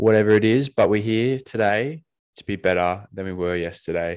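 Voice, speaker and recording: A man speaks with an Australian accent and ordinary pitch variation. The background is quiet. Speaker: podcast co-host. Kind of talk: casual chat.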